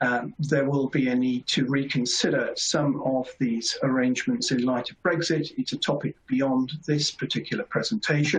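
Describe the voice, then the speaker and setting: Moderate pace in a British accent, hardly any pauses, and noticeable background noise. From Britain. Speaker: competition lawyer. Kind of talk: webinar presentation. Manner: formal.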